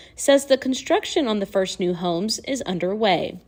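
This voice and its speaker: A woman's unremarkable speaking voice, fairly high with lively intonation and a moderate pace. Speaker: student news anchor and reporter. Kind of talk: TV news package voice-over.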